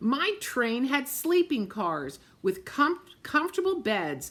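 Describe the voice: In a put-on character voice, the speaker talks at a slow pace with a fairly bright tone and big pitch swings. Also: woman, high pitch for a woman.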